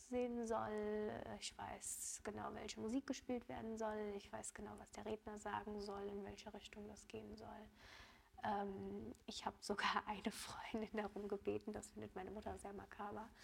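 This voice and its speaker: Barely pausing, a woman keeps to a moderate pace. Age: 20s. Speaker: cancer patient. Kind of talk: interview.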